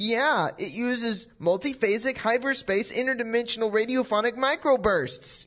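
A female-sounding put-on character voice with fairly high pitch runs at a moderate pace with hardly any pauses over a quiet background. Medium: audio drama. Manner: eager, chipper.

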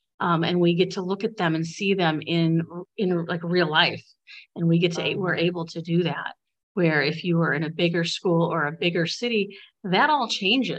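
A woman with a plain, everyday voice and an American accent speaks at a fairly low pitch with ordinary pitch variation. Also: moderate pace. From Bradley, Illinois. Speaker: elementary school teacher. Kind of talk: interview.

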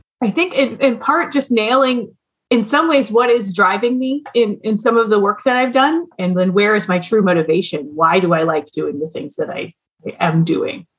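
A woman with an Upper Midwest accent sounds somewhat breathy as her pitch swings very widely. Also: fairly high pitch for a woman, moderate pace. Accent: Upper Midwest American. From US Midwest, Duluth, Minnesota. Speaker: lawyer and business owner. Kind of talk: interview.

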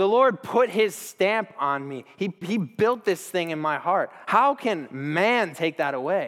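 A man talks at a fairly slow pace with hardly any pauses. His voice is high, with lively intonation and an animated tone. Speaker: preacher. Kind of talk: sermon. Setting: church stage with audience.

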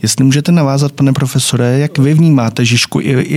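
A man with a medium-pitched voice talks very fast in a fairly even tone over noticeable background noise. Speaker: podcast host. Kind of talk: moderated discussion. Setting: studio.

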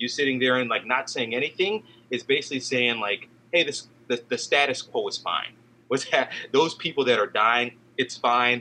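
A man talks at a moderate pace with a medium pitch and ordinary pitch variation. His tone is bright and sharp. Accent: American. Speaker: podcast co-host. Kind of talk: casual chat.

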